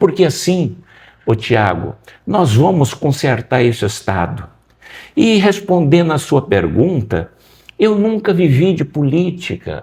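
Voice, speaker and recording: A man's fairly high, dark and mellow voice with vocal fry, very wide pitch swings, a very slow pace and long, frequent pauses. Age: 60s. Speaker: political candidate. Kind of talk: interview.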